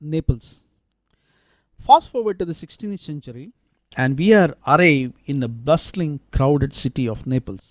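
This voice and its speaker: A man with a Keralan accent talks at a moderate pace in a fairly high pitch, his intonation lively, the sound dry and close with no echo. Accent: Indian, Kerala. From India, Kerala. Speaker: podcast host. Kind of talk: scripted narration.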